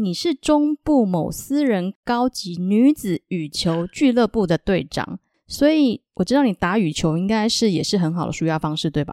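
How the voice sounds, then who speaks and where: Her medium-pitched voice has a dark, mellow tone, very wide pitch swings and a moderate pace. The woman is heard on a very clean recording with a silent background and a dry, close sound with no echo. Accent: Taiwanese. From Taiwan. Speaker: podcast host. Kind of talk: casual interview chat; Bible storytelling.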